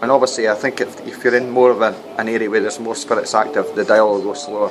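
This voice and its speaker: Over noticeable background noise, a man with a Scottish accent talks at a fairly quick pace, his medium pitch carrying fairly even intonation. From Scotland, Dundee. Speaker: radio technician and doorman making paranormal videos. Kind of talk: casual vlog monologue. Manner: halting, with repetitions.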